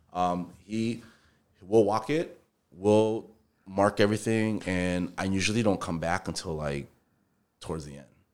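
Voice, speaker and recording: A man talks at a fairly slow pace in a fairly low pitch, with ordinary pitch variation, big swings in loudness, and long, frequent pauses. The recording is very clean, with a silent background. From Minnesota, US. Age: 40s. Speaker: entrepreneur, general contractor. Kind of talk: casual interview chat.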